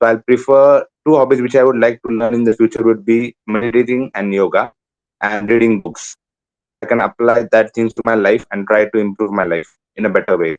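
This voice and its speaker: The sound is dry and close, with no echo. A man speaks at a medium pitch. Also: fairly even intonation, fairly quick pace. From India, Konkan coast (Malvan, Maharashtra). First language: Malvani. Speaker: exam candidate, call centre worker. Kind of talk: mock speaking exam interview. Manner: hesitant, with fillers.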